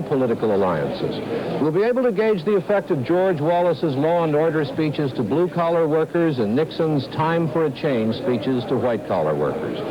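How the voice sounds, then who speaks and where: Over noticeable background noise, a man with an American accent and a fairly high pitch talks at a fairly quick pace with lively intonation, very even loudness and hardly any pauses. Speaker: news correspondent. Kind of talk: TV news commentary.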